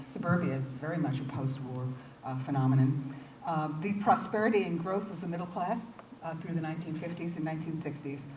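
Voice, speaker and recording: A woman with an American accent and a fairly low voice speaks at a fairly quick pace with lively intonation. Audible room echo and noticeable background noise are present. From New York City, Brooklyn. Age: 60s. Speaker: English professor. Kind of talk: lecture. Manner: halting, many fillers and repeats.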